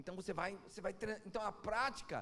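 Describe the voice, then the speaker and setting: Amid audible room echo, a man speaks at a very fast pace in an animated tone. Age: 40s. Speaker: pastor. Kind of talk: sermon.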